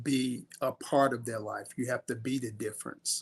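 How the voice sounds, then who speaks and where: Recorded with a dry, close sound and no echo, a man of medium pitch speaks at a moderate pace with fairly even intonation. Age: 60s. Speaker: youth coach and mentor. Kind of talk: interview answer. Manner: halting, many fillers.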